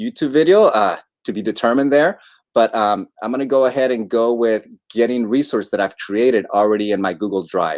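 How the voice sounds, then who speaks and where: In a quiet background, this man moves at a fairly quick pace, his pitch varying in an ordinary way. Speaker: ed tech trainer. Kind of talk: tutorial. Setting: livestream. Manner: fast. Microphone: video call.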